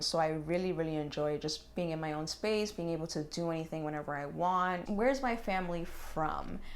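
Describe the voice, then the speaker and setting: Her fairly low-pitched voice moving at a fairly quick pace with hardly any pauses, a woman speaks in a room with audible echo. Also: ordinary pitch variation. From New York City, Bronx. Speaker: lifestyle YouTuber. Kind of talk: casual chat.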